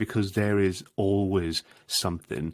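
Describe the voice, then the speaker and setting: Heard on a very clean recording with a silent background, a man with a Welsh accent speaks at a fairly low pitch with fairly even intonation. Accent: Welsh (Swansea). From Wales, Swansea. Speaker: marketing industry association director. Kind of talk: podcast interview.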